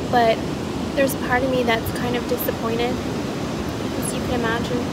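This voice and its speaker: A woman at a moderate pace, dry sound with no echo, loud background noise behind her. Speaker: vlogger. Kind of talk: casual vlog chat. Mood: relaxed, amused. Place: beach. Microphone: phone near.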